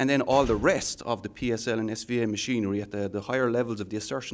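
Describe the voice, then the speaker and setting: With an Irish accent, a man talks at a very fast pace in a fairly low pitch and fairly even intonation. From Ireland. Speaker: software architect. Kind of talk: technical interview. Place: meeting room. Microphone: handheld.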